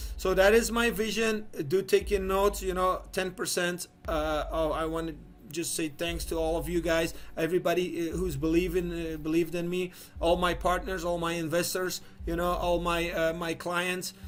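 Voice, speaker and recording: The voice moves at a moderate pace with monotone, flat intonation, in a Belgian accent. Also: man, high pitch for a man. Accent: non-native English, Belgian. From Belgium. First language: not English. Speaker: online business founder. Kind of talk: business video monologue. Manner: halting, many fillers and repeats.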